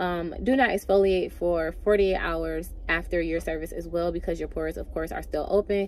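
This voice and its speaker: Speaking with hardly any pauses, a woman is heard over noticeable background noise. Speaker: beauty vlogger. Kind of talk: vlog monologue. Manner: fast; casual.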